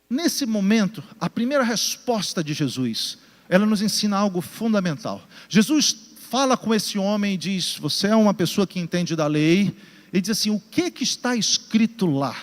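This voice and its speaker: A man's high voice with lively intonation. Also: moderate pace. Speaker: pastor. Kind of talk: sermon. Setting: church with congregation, also broadcast.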